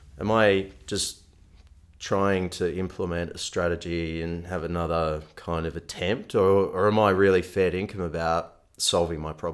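A man with an Australian accent speaks in a very deep, low, monotone voice with flat intonation, recorded very cleanly against a silent background. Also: moderate pace. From Melbourne, Australia. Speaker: nutrition coach. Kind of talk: interview.

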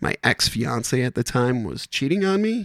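A man with an American accent, lively intonation and vocal fry at a moderate pace, in a dry, close sound with no echo and a very clean recording with a silent background. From Wisconsin. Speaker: stand-up comedian. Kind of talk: casual chat.

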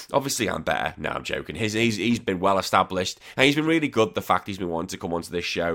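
On a very clean recording with a silent background, a man speaks with a Liverpool accent. His fairly low voice carries lively intonation. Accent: Liverpool (Scouse) English. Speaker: podcast host. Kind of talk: casual chat.

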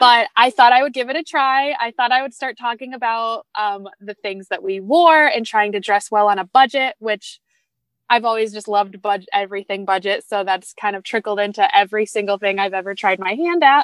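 Speaking at a moderate pace, a woman uses a normal speaking voice with a fairly high pitch and ordinary pitch variation. The recording is very clean with a silent background, and the sound is dry and close with no echo. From Michigan, US Midwest. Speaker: meal planning entrepreneur. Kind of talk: casual interview chat.

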